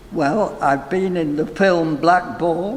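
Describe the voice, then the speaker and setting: Over noticeable background noise, a man with a fairly high pitch talks at a very slow pace with ordinary pitch variation. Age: 80s+. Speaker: retired actor and nurse. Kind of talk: interview answer.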